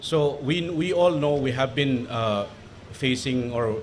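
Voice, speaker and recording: A man with a Manipur accent, ordinary pitch variation and noticeable background noise. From Manipur, northeast India. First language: Manipuri. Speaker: panel speaker, international relations academic. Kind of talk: panel talk. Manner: halting, many fillers.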